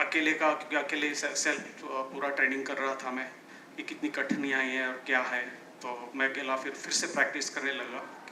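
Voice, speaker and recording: Delivered in a monotone, flat intonation, the voice has audible room echo and noticeable background noise. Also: man. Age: 60s. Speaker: mountaineer. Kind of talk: personal testimony talk. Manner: halting, with fillers and restarts.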